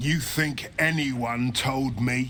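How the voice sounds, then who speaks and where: A man puts on a character voice at a medium pitch with fairly even intonation, and background noise is clearly heard. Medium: video game. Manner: smooth, ingratiating.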